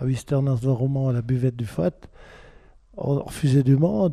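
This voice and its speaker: Speaking at a moderate pace, a man with a fairly high pitch has a somewhat breathy voice and a dark, mellow tone. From French-speaking Switzerland. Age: 70s. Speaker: retiree. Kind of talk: interview.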